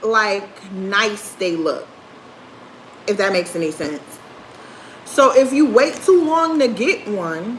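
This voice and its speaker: The speech moves at a very slow pace with long, frequent pauses and very wide pitch swings, over noticeable background noise and audible room echo. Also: woman, fairly high pitch for a woman. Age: 30s. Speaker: livestreamer. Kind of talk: casual chat. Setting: livestream.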